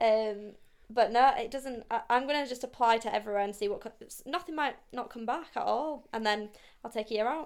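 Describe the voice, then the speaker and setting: Recorded very cleanly against a silent background, a woman with a Yorkshire accent speaks at a fairly quick pace, with a fairly high pitch and ordinary pitch variation. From South Yorkshire, Barnsley. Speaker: podcast co-host. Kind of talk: casual chat.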